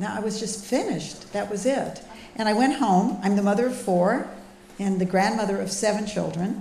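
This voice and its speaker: There is audible room echo and noticeable background noise as a woman talks at a fairly quick pace in a medium-pitched voice. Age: 70s. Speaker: speaker on healthy eating. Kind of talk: public talk.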